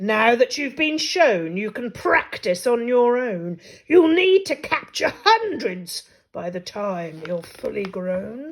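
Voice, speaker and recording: This put-on character voice makes very wide pitch swings. It moves at a fairly slow pace. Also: woman, high pitch for a woman. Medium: read story. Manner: commanding.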